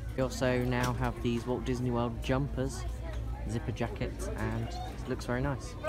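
Clear music plays in the background. A man talks over it at a moderate pace. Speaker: vlogger. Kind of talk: casual vlog chat. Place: shop. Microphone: phone near.

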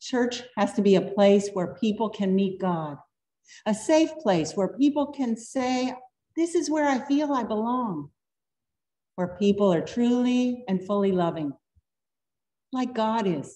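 A woman with a dark, mellow tone and fairly high pitch speaks at a fairly slow pace, somewhat breathy, with lively intonation, long, frequent pauses, and a quiet background. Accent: American. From US South. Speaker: pastor. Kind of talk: sermon. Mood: warm, earnest. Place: church. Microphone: podium.

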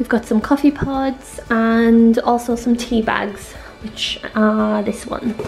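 Clear music sounds in the background. Over it, a woman talks. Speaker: home renovation vlogger. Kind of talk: casual vlog chat. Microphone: phone near.

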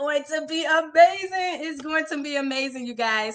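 Bright and sharp in tone, a woman raises and projects her voice. She keeps a moderate pace against a quiet background. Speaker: transformation coach. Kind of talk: live stream motivational talk. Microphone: phone near.

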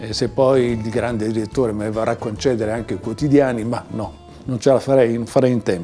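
Over faint background music, a man talks at a fairly quick pace with fairly even intonation. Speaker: poet. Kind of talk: casual talk to camera. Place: home room.

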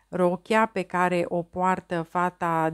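Fairly low-pitched woman, very clean recording with a silent background, dry and close with no echo. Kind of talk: audiobook reading aloud of literary prose. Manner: slow, measured, contemplative literary delivery; formal, even, introspective tone.

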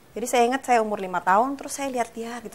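A woman speaks with a fairly high pitch. Light background noise sits behind her. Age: 30s. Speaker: author, TV guest; TV guest. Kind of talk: personal story in interview. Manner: casual, hesitant with many fillers. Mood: reflective, personal story. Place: studio.

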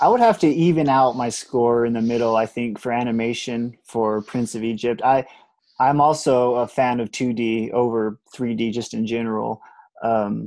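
Moderate pace in a dry sound with no echo. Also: man, quiet background. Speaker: guest. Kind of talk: casual conversation on a call. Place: home room. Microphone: earbuds.

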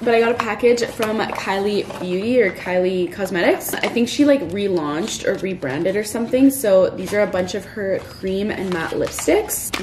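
Over noticeable background noise, a woman speaks at a moderate pace with ordinary pitch variation and hardly any pauses. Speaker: lifestyle vlogger. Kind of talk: casual vlog chat. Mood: excited, upbeat. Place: home room. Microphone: phone near.

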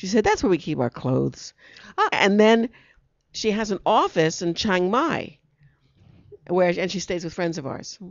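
A woman with an American accent at a moderate pace with lively intonation and long, frequent pauses, in a dry sound with no echo and a quiet background. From New York. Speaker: talk show host. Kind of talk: casual chat. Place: studio. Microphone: handheld.

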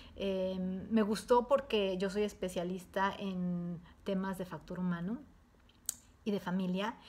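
A woman speaks in a somewhat breathy voice with fairly even intonation, at a fairly slow pace broken by long, frequent pauses. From Mexico. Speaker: entrepreneur giving a course testimonial. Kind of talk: testimony. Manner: hesitant, many fillers. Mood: warm, positive. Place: home room. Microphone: webcam.

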